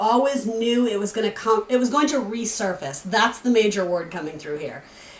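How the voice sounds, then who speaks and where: A woman speaks in a New England accent with lively intonation. Noticeable background noise runs under her voice. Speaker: tarot reader. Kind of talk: tarot reading. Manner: casual, chatty with fillers.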